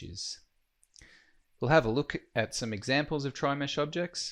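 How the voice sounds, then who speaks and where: A man speaks with an Australian accent at medium pitch. His pitch varies in an ordinary way against a quiet background. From Australia, Queensland. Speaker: software trainer. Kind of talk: tutorial.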